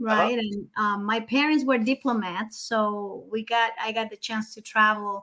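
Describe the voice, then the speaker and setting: A woman with a Spanish accent speaks at a fairly slow pace with hardly any pauses, her fairly high voice bright and sharp in tone, her intonation fairly even. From Nicaragua. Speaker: mortgage consultant, real estate broker. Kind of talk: casual podcast interview.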